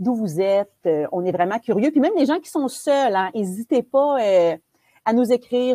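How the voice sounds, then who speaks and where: In a dark, mellow tone, a woman talks at a moderate pace with lively intonation, the sound dry and close with no echo. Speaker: webinar host. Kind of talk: event introduction. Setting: webinar.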